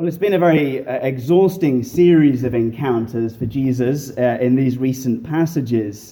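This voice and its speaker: A man's medium-pitched British accent, dark and mellow in tone, with ordinary pitch variation, a moderate pace and hardly any pauses. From England. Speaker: guest preacher. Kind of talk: sermon. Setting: church. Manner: humorous.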